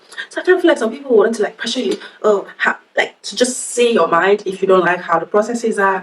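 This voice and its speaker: Very fast and animated, a woman with a fairly high pitch and lively intonation speaks over noticeable background noise. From Nigeria. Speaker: workplace advice vlogger. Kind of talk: casual chat.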